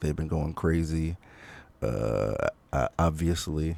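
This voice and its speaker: Quiet and very slow, a man speaks with a very deep, low pitch and a dark, mellow tone in a very clean recording with a silent background. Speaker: music commentator. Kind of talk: casual reaction commentary. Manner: quiet, low volume; hesitant, many fillers.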